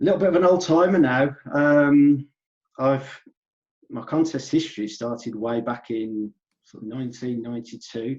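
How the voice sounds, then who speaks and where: A man speaks with an English Midlands accent. His loudness swings widely. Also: medium pitch for a man, ordinary pitch variation, moderate pace. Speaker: natural bodybuilder. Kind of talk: podcast interview.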